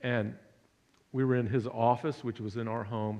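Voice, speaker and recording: Here a man with a medium pitch speaks at a moderate pace in an American accent. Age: 60s. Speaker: son of a Holocaust survivor, public speaker. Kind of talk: public talk. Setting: church hall with audience. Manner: halting.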